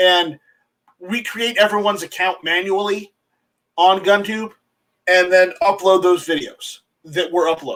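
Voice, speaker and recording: This man speaks in a raised, projected voice with a high pitch and a bright, sharp tone. His pace is fairly slow and his intonation fairly even. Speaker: website owner, gun rights activist. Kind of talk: casual chat. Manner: halting, many repetitions.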